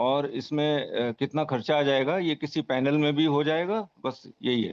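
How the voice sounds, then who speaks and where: A man with a fairly high pitch speaks at a very even loudness, with ordinary pitch variation. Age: 60s. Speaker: caller, retired government employee. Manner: halting.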